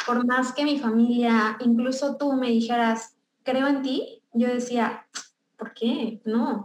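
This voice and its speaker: A woman's high-pitched voice, flat and monotone, at a very slow pace. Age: 20s. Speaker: beauty business owner. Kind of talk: testimony.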